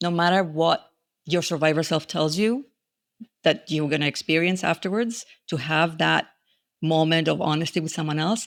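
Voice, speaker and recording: The recording is very clean, with a silent background. A woman speaks at a moderate pace and fairly low pitch, with ordinary pitch variation. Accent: non-native. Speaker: grief educator, author. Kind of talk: interview.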